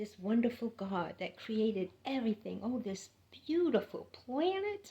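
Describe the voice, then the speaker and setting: A woman with a dark, mellow tone speaks at a fairly slow pace, her pitch swinging very widely. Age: 60s. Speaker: spiritual vlogger. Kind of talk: spiritual monologue. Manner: animated.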